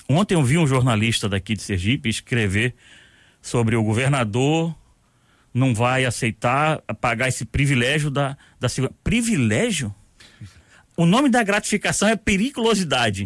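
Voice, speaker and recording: A man speaks with very wide pitch swings and very even loudness, leaving long, frequent pauses. The recording is very clean, silent in the background, with a dry, close sound and no echo. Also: medium pitch for a man, moderate pace. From Rio de Janeiro, Brazil. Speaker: retired military police colonel. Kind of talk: radio interview. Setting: radio studio.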